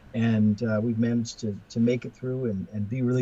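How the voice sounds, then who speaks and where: With an American accent, a man speaks at a moderate pace in a medium-pitched, somewhat breathy voice with a dark, mellow tone and fairly even intonation. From US West Coast. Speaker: professor and author. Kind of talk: podcast interview. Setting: remote call. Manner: halting, many fillers and repetitions.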